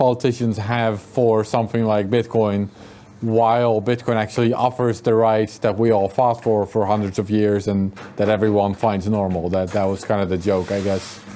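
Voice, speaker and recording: A man with a Dutch accent, fairly low in pitch, in a monotone, flat delivery. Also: moderate pace. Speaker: author and journalist. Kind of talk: interview at a meetup.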